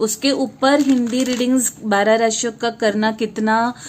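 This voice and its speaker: A woman with a Marathi accent speaks at a fairly high pitch in monotone, flat intonation. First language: Marathi (speaking Hindi). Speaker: tarot reader. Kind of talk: tarot reading monologue. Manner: halting, many fillers.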